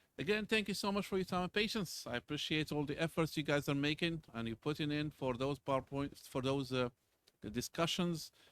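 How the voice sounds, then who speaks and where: A man with a non-native accent talks at a fairly high pitch for a man with ordinary pitch variation, on a very clean recording with a silent background. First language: not English. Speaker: university lecturer. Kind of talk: lecture. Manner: casual, conversational.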